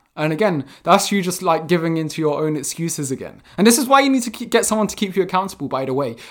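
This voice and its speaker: In a very clean recording with a silent background, a man talks at a very fast pace, high-pitched, with lively intonation and a passionate tone. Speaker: fitness coach and podcaster. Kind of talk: solo monologue giving tips. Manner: fast talker; passionate, informal.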